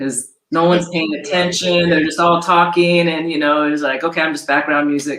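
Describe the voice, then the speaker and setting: Pitched very deep and low, a woman speaks at a moderate pace in a monotone, flat way with hardly any pauses. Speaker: jazz vocalist. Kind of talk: interview.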